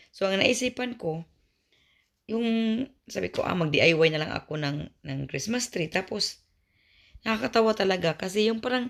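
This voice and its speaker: On a very clean recording with a silent background, a woman at medium pitch speaks with long, frequent pauses. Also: moderate pace. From Visayas, Philippines. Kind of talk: casual vlog talk to camera.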